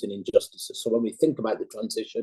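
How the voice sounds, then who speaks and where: A man speaks with a dry, close sound and no echo. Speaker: NGO campaigner. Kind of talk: seminar presentation. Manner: fast.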